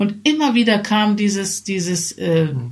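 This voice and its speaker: The speaker is a woman. Her voice sounds somewhat breathy. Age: 40s. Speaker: podcast co-host. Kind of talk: casual chat.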